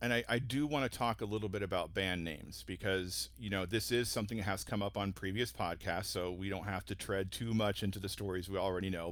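A man's fairly low voice with vocal fry, ordinary pitch variation and a fairly quick pace, in a very clean recording against a silent background. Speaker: guest host for this episode. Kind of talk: casual interview chat.

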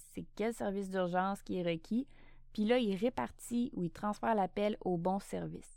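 This is a woman with a Quebec accent. Her pitch sits in the medium range. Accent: Québécois French. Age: 30s. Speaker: podcast host, emergency dispatcher. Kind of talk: casual Q&A monologue.

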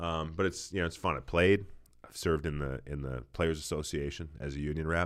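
A man with an American accent and a very deep, low pitch, fairly even intonation and big swings in loudness, in a very clean recording with a silent background. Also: fairly quick pace. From Minnesota, Saint Paul. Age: 40s. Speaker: retired football player. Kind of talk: casual interview. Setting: church building.

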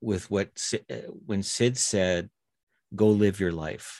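In a Canadian accent, a man talks at a very slow pace with a dark, mellow tone. The recording is dry and close, with no echo. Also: quiet background. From Canadian Prairies (Winnipeg). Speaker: retired paramedic, mental health coach. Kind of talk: casual interview.

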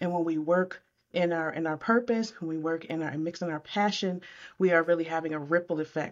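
A woman with a normal speaking voice and an American accent, fairly low in pitch, with fairly even intonation and a moderate pace. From upstate New York (Syracuse). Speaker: communication coach. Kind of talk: interview.

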